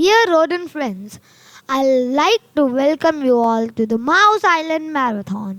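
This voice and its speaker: A female-sounding, squeaky put-on character voice, high-pitched for a woman, at a fairly slow pace. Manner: formal welcoming speech, reading from cards.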